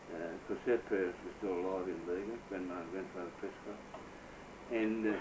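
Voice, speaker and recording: Speaking at a moderate pace with a strong Australian accent, a man uses a fairly low pitch and fairly even intonation, with audible room echo and noticeable background noise. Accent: broad Australian. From Australia, New South Wales. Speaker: family elder recounting memories. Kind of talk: oral history interview. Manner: hesitant, filled with uh.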